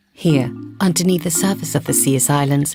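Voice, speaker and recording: A woman's very deep, low voice at a moderate pace, with lively intonation and music in the background. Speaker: voice actor. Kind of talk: documentary narration. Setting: studio.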